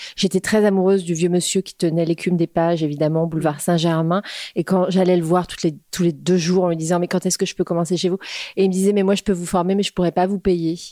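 A woman speaks at a very fast pace in a fairly low pitch with a monotone, flat intonation. The sound is dry and close, with no echo. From Paris suburbs (Créteil). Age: 50s. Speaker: entrepreneur, grocery founder. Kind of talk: casual interview. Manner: hesitant with fillers.

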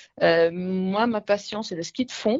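A woman speaks at a very slow pace. Her pitch is fairly low and her intonation fairly even. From northern Italy, north of Milan. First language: Italian (speaking French). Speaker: retail centre director. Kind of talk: radio interview. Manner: hesitant, many fillers.

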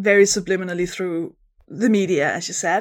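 A woman speaks with a Danish accent. Her pace is fairly quick. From Denmark. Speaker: comedian. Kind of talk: casual chat. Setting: video call.

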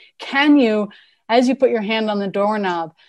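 An American accent with ordinary pitch variation. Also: woman. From US West Coast, Berkeley, California. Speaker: psychology researcher and educator. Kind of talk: lecture; guided exercise.

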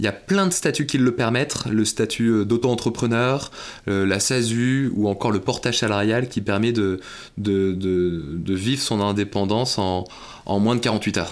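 Speaking at a fairly slow pace, a man with a fairly low pitch keeps his loudness very even and his pitch variation ordinary. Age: 30s. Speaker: recruitment firm CEO. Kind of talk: podcast interview. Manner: hesitant with fillers.

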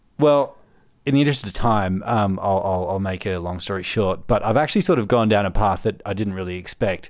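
Fairly quick speech from a man with an Australian accent. His pitch sits fairly low. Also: ordinary pitch variation. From Melbourne, Australia. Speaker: public service graduate. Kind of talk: casual chat. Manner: halting, many fillers and repeats.

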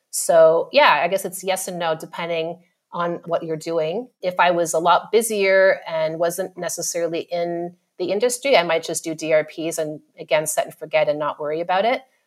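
A woman with a Canadian accent speaks at a moderate pace. She has a fairly low pitch and an ordinary speaking voice. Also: ordinary pitch variation. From Canada, Ottawa. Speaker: marketing manager. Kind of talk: podcast interview.

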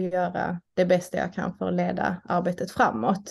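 Over a quiet background, a woman delivers her words fairly slowly. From southern Sweden, Malmö (Skåne). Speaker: doctor and union chair. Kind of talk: interview. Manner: halting, with repetitions.

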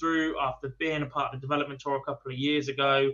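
The speaker talks at a fairly quick pace in a bright, sharp tone with little pitch movement. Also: man.

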